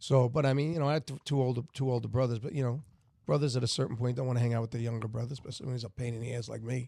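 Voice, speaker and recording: A man with an American accent speaks very fast in a dark, mellow tone. His pitch is medium and his intonation fairly even. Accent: New York Italian. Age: 60s. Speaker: guest, former singer and bar owner. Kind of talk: casual chat.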